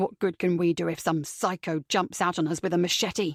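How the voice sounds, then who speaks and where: A woman uses a put-on character voice, growling at a fairly low pitch with fairly even intonation. She goes at a fairly quick pace, and her loudness stays very even. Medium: read story. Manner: aggressive, blunt.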